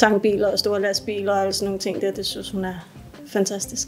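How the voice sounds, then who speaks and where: Noticeable background noise fills the clip. Through it, a woman's words come at a fairly quick pace. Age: 40s. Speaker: apprentice welder. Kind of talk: workplace interview testimony. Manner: casual, hesitant with repetitions.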